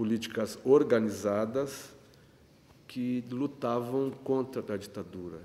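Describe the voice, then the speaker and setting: A man draws out his words very slowly in a dark, mellow tone. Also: medium pitch for a man, ordinary pitch variation. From Rio Grande, Rio Grande do Sul, Brazil. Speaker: photographer and union activist. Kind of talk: interview answer.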